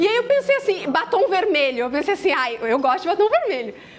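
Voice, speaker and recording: Against noticeable background noise, a woman with a gaúcho accent speaks at an extremely high pitch with very wide pitch swings. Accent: gaúcho accent, uses tu. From southern Brazil, Rio Grande do Sul. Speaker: motivational speaker. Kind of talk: motivational talk. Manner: casual, conversational.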